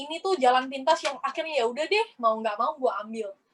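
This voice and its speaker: A woman speaks with a high pitch. The sound is dry and close, with no echo. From South Sumatra, Palembang. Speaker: network marketing business owner. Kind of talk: motivational testimony.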